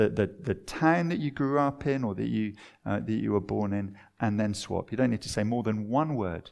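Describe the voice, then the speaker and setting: Lively intonation marks a man speaking at a medium pitch with a southern English accent. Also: quiet background. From southern England (Watford). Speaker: preacher. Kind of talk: sermon.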